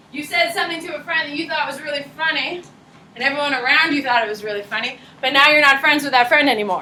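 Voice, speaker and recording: Speaking at a very fast pace in a raised, projected voice, a woman with a high pitch and ordinary pitch variation is heard over noticeable background noise and audible room echo. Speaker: high school psychology teacher. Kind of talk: classroom lecture. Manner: animated.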